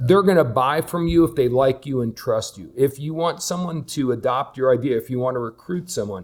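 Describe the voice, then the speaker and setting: Speaking at a fairly quick pace with hardly any pauses, a man uses a fairly high pitch and ordinary pitch variation. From US Northeast, New Jersey. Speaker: podcast host, personal development coach. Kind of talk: casual podcast discussion. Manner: loud.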